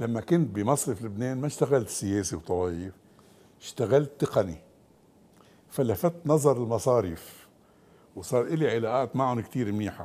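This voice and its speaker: A man speaks at a fairly slow pace with lively intonation. His tone is dark and mellow. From Lebanon, Beirut (family from the Chouf); Lebanon. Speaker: economist, former central bank deputy governor; guest. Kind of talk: TV interview. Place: studio. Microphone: lapel.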